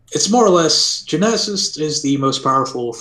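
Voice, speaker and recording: Over noticeable background noise, a man speaks with lively intonation. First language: not English. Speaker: game server admin. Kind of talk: interview. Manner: hesitant, many fillers.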